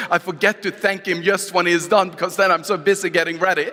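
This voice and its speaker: High-pitched, raised and projected male voice in a flat monotone, over noticeable background noise. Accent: Norwegian. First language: Norwegian. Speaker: motivational speaker. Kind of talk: motivational talk. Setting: stage with audience.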